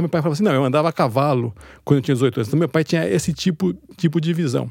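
Very fast speech with vocal fry and lively intonation. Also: man. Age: 50s. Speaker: writer and editor. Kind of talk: interview.

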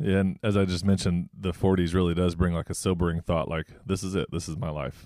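A man speaks at a very fast pace in a very deep, low pitch, with a dark, mellow tone and fairly even intonation. The recording is very clean with a silent background, the sound is dry and close with no echo, and there are hardly any pauses. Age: 40s. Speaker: pastor and ministry leader. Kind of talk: casual chat.

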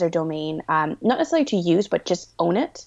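Speaking at a fairly quick pace with lively intonation, a woman with a Canadian accent has an unremarkable speaking voice. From Canada. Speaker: web designer and entrepreneur. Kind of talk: interview.

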